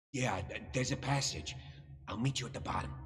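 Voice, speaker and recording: Putting on a character voice at a medium pitch, a man talks at a fairly quick pace with audible echo. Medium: video game.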